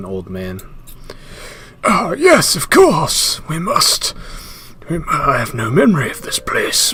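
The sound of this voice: A fairly slow, put-on character voice from a man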